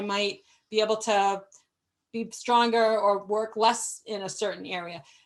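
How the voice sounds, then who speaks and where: A woman in a normal speaking voice, fairly high-pitched and fairly even in intonation, speaks against a quiet background. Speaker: management consultant and webinar presenter. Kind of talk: webinar presentation. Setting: live webinar.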